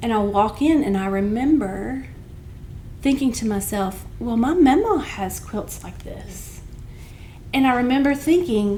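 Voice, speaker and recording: Amid audible room echo, a woman with a Southern Appalachian accent speaks at a fairly slow pace, her fairly high voice carrying lively intonation. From Southwest Virginia (Lee County). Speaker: arts center director. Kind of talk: podcast interview conversation.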